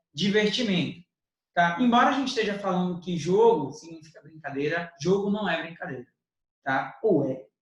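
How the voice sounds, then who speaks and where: A man's high-pitched voice moves at a moderate pace, his intonation lively. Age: young. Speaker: teacher. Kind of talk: educational podcast discussion.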